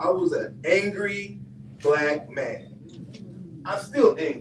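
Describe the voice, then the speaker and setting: A man at a very slow pace, with very wide pitch swings, audible room echo and noticeable background noise. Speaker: boxing coach and youth mentor. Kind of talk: community event speech. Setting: room with audience, no microphone. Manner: loud, projecting without microphone.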